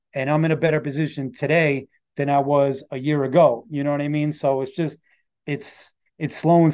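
In a New York accent, a man with fairly high pitch and a dark, mellow tone speaks at a fairly quick pace against a quiet background. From New York City, Rockaway Beach, Queens. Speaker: rapper. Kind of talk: interview conversation. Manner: halting.

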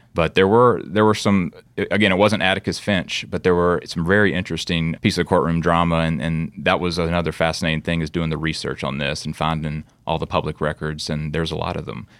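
A man with a Mississippi accent talks at a fairly quick pace with hardly any pauses and very deep, low pitch. His intonation is fairly even, and the recording is very clean with a silent background. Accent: Southern US (Mississippi). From US South, Oxford, Mississippi. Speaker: author and photographer. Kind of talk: interview. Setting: studio in Chicago.

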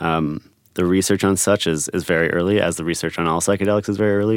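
In a very clean recording with a silent background, a man with an American accent speaks at a moderate pace with fairly even intonation. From United States. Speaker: psychedelic retreat co-founder. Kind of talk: interview.

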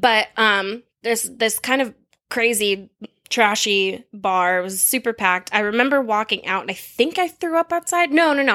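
A woman speaks at a fairly high pitch with lively intonation and a bright, sharp tone. The recording is very clean, with a silent background. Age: 30s. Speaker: podcast guest. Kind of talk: casual chat.

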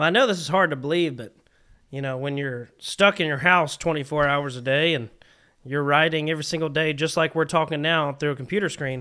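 In a very clean recording with a silent background, a man with a Southern US accent speaks at a fairly quick pace. His voice is fairly high-pitched with ordinary pitch variation and a bright, sharp tone. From South Carolina. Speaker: country singer. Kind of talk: casual chat. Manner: animated.

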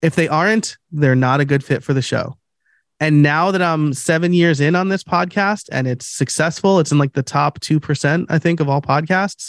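In an ordinary speaking voice with an American accent, the speaker goes at a moderate pace with ordinary pitch variation and very even loudness, recorded dry and close with no echo against a quiet background. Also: man, fairly high pitch for a man. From New York. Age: 30s. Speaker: podcast coach and producer. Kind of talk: interview.

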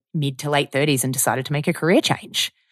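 A woman with an Australian accent speaks at a very fast pace in a very deep, low voice, on a very clean recording with a silent background and a dry, close sound with no echo. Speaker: podcast host. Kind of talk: casual chat.

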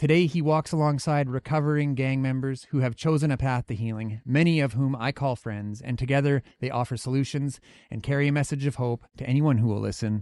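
A man with a plain, everyday voice at medium pitch, fairly even intonation, a fairly quick pace with hardly any pauses, and a dry, close sound with no echo over a quiet background. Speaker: podcast host. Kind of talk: interview conversation. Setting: studio.

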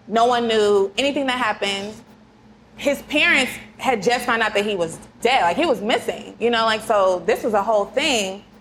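An unremarkable speaking voice moves at a moderate pace with ordinary pitch variation and very even loudness. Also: woman, fairly high pitch for a woman. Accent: American. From Kansas City, US Midwest. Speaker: lawyer, podcast co-host. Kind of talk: casual chat.

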